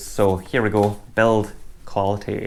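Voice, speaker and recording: This is a man speaking. He has a Scottish accent. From Scotland. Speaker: music gear youtuber. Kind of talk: product review. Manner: casual.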